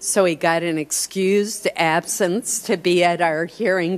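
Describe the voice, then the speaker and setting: A woman's fairly low-pitched voice at a very slow pace. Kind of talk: formal opening remarks. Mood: warm, lightly humorous. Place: hall. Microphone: podium.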